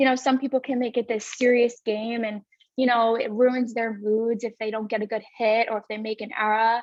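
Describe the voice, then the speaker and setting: Monotone, flat intonation from a woman with a Long Island accent at a moderate pace. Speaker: college softball player. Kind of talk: interview.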